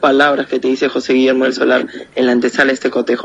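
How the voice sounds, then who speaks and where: The man talks at a fairly quick pace. Noticeable background noise runs underneath. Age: young. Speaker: football goalkeeper. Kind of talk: interview.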